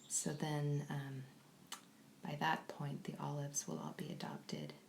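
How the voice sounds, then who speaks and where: Soft-spoken and very deep in pitch, a woman talks with an American accent. She keeps a moderate pace. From California. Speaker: kitten foster carer. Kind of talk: live stream chat.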